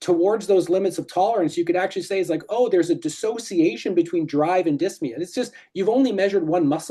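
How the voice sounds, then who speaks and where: The speech races along very fast with hardly any pauses. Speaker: respiratory physiology researcher. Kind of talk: academic seminar Q&A.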